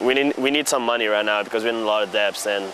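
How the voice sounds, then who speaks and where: A man with a French accent, a fairly low pitch and a very fast pace, amid noticeable background noise. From Tunisia. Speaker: college student and tennis player. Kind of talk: interview. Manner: casual, filler-heavy.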